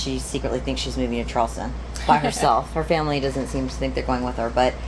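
A woman over noticeable background noise. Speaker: interviewee. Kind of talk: interview answer. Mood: cheerful, laughing. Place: shop.

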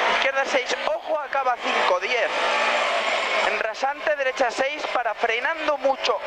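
The speaker goes at a fairly slow pace. Loud background noise is present. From Spain. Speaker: rally co-driver. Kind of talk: rally co-driver reading pace notes. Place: car. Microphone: headset.

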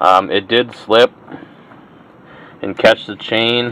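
Dry, with no echo and light background noise, a man speaks at a fairly slow pace. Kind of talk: tutorial. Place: workshop. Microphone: phone near.

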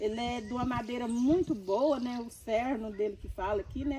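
A woman with a high voice talks with hardly any pauses. Noticeable background noise runs underneath. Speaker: grandmother and gardener. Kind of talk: casual chat.

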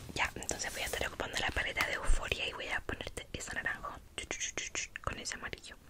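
A whispering woman at a very fast pace, with noticeable background noise. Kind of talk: ASMR roleplay, makeup. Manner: soft, whispered, intimate.

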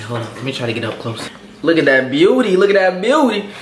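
Male speech carrying audible echo from the room, plus a little background noise. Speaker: food video host. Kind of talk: casual mukbang chat. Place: kitchen. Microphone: camera far.

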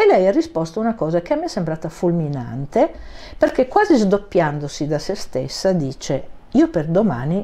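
Her voice is fairly low and dark, mellow in tone, and this woman uses lively intonation. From Turin, northern Italy; northern Italy. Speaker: ceramic artist; guest. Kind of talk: interview. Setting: studio. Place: studio. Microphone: lapel.

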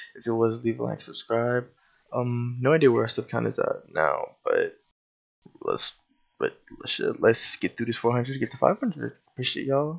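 A quiet man at a moderate pace. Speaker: YouTube game scripting tutor. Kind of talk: tutorial. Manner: quiet and laid-back.

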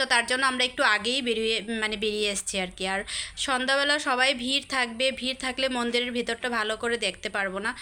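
Her high-pitched voice, a woman's, keeps a fairly even intonation. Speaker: vlogger. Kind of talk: casual vlog narration. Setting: outdoors at a temple.

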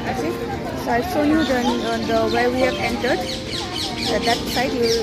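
A woman speaks over loud music in the background. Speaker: vlogger. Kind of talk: casual vlog chat. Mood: relaxed, cheerful. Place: garden. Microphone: phone near.

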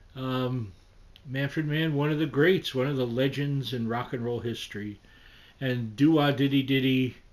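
A man's intonation is fairly even as he talks at a moderate pace. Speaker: music video blogger. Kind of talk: casual vlog chat. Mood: nostalgic, fond. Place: home room.

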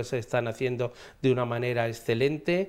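With fairly even intonation, a man reads at a moderate pace. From Madrid, Spain; Spain. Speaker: regional government official. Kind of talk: TV interview. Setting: TV studio. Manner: halting. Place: studio. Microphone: lapel.

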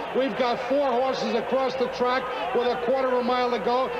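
Loud background noise dominates the clip. Through it, a man talks. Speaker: race announcer. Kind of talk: commentary.

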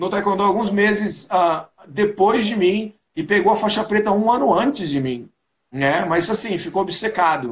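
Against a quiet background, a man with a high voice speaks at a fairly slow pace. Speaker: podcast guest. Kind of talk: interview answer. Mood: joking, nostalgic. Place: home room. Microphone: video call.

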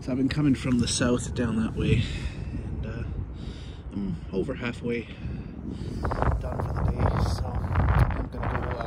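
A man at a fairly slow pace with long, frequent pauses, dry sound with no echo, and loud background noise. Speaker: touring cyclist vlogger. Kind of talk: casual vlog chat. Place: beach. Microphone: phone near.

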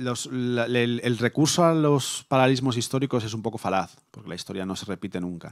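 Against a quiet background, a man talks at a fairly quick pace with hardly any pauses and ordinary pitch variation. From Spain, Móstoles (Madrid area); Spain. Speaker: anthropologist and researcher; conference speaker. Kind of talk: academic lecture; lecture. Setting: conference hall with audience.

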